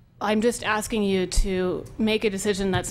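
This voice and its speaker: A woman with an American accent, medium pitch and fairly even intonation, with audible room echo. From northern California (Willits). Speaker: public commenter. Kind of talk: public comment at county meeting. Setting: public meeting hall.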